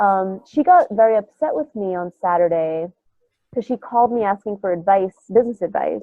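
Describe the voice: A nasal woman's voice with lively intonation. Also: medium pitch for a woman, moderate pace, dry, close sound with no echo.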